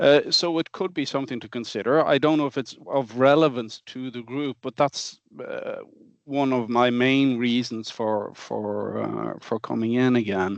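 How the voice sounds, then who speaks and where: With a Norwegian accent, a man speaks at a moderate pace and medium pitch with ordinary pitch variation, the sound dry and close with no echo against a quiet background. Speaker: drilling automation researcher. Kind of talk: online meeting discussion. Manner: halting.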